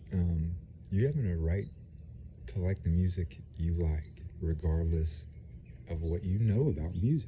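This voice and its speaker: Soft-spoken and somewhat breathy, a man with a very deep, low pitch and a dark, mellow tone talks at a fairly slow pace with lively intonation and long, frequent pauses. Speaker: vlogger. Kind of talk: casual monologue. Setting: outdoors. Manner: soft-spoken, speaking low; halting, many fillers.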